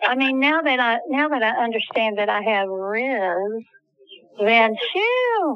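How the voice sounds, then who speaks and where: A woman's fairly high-pitched voice with an American accent, very even loudness, ordinary pitch variation and a very slow pace. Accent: Southern, being regained. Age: 60s. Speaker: podcast co-host, former stage actor. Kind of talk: casual chat. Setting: in a car.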